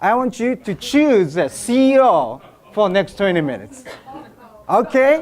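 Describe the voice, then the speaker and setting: The voice carries a Japanese accent and very wide pitch swings. Noticeable background noise runs underneath. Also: man, high pitch for a man. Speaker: business speaker. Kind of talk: seminar speech. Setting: stage with audience. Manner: halting.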